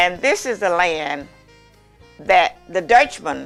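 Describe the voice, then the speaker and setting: A woman with a Southern US accent speaks very slowly at a medium pitch, her intonation lively. Music plays in the background. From Mississippi, US South. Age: 80s+. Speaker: master baker. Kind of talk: interview answer.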